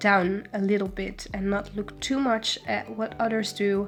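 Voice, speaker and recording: Music plays behind a woman speaking with a Dutch accent. Her pitch is medium and her pace fairly slow. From Netherlands. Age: 20s. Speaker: illustration student. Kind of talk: casual voiceover answering viewer questions.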